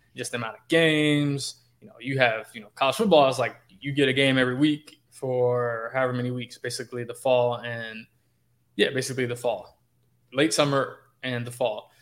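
A man with a plain, everyday voice and an American accent talks at a fairly quick pace and a medium pitch. His intonation is fairly even, though his loudness swings widely. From Chicago. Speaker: sports beat writer. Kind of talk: podcast interview.

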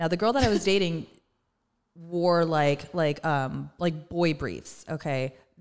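A woman with a fairly low pitch speaks at a very slow pace, using ordinary pitch variation. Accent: American. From Southern California. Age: 30s. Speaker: cookbook author and content creator. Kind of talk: casual chat.

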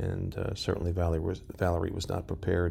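The man's pitch is very deep and low, with a dark, mellow tone. He talks at a fairly quick pace with vocal fry. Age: middle-aged. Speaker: podcast host. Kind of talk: casual chat.

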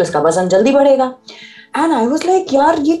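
Her voice is high-pitched, and this woman has a dark, mellow tone. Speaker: radio host and parenting podcaster. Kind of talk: casual interview.

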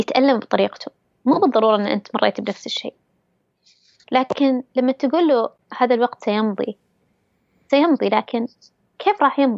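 High pitch and ordinary pitch variation in a woman's voice. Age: 20s. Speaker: interviewee sharing mental health experience. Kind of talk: personal testimony.

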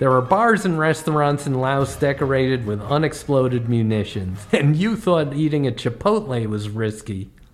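A man talks at a moderate pace with hardly any pauses, over music in the background. His fairly high voice swings very widely in pitch. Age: 60s. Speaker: comedy travel podcaster. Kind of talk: scripted narration.

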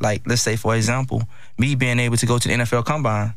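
A man at medium pitch talks very fast with fairly even intonation. Room echo is audible. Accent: American. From Miami, Florida (Liberty City). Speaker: former college football player. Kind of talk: interview. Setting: studio.

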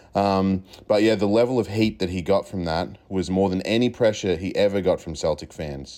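A fairly quick, fairly low-pitched male voice with a dark, mellow tone and an Australian accent. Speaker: listener sending a hot take. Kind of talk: reading aloud.

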